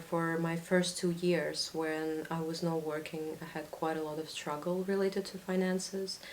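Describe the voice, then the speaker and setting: A woman speaks fairly slowly in a Russian accent, her pitch fairly low and her intonation fairly even. Room echo can be heard. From Latvia. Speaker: student. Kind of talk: interview.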